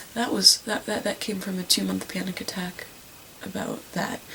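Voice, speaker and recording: A soft-spoken voice comes through noticeable background noise. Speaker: vlogger. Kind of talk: personal testimony. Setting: at home at night. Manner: halting.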